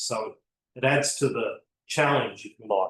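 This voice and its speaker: A man talks with an Australian accent. His pace is moderate. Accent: Australian, noticeable to a French audience. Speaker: botanic garden consultant. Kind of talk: seminar lecture. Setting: seminar room with audience and online stream.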